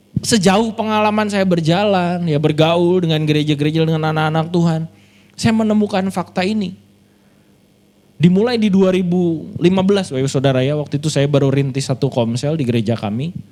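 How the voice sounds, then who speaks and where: Animated in tone, a man with a high pitch talks at a fairly quick pace with lively intonation. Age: 30s. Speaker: pastor. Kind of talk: sermon.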